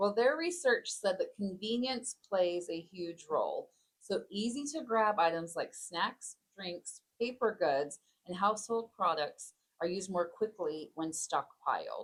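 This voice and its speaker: A woman speaks fairly slowly, her pitch swinging very widely. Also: medium pitch for a woman. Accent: Texas. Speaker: podcast co-host. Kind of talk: casual discussion.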